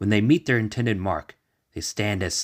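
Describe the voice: Plain reading aloud with fairly even intonation sits over a quiet background.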